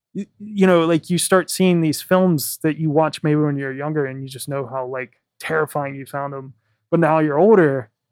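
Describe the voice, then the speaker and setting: A normal speaking voice with an American accent, ordinary pitch variation, big swings in loudness and a moderate pace, in a dry, close sound with no echo. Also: man, fairly high pitch for a man. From US South. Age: 30s. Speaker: podcast host. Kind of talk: casual interview. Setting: in-person recording in an office.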